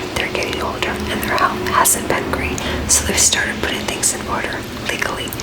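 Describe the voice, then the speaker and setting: Whispered words come at a fairly quick pace, with noticeable background noise behind them. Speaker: ASMR reader of online stories. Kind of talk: ASMR story reading.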